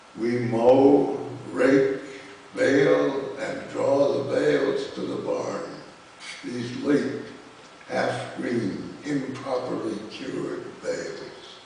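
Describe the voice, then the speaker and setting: A man talks very slowly, with noticeable background noise behind him. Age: 80s+. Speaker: poet. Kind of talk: poetry reading. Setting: live reading at a college.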